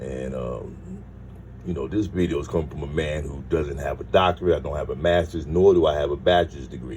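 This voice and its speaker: A man with a very deep, low pitch speaks at a fairly quick pace, his loudness swinging widely and his pitch varying in an ordinary way, over noticeable background noise. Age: 60s. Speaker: commentary video creator. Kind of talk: casual commentary. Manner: hesitant, many fillers.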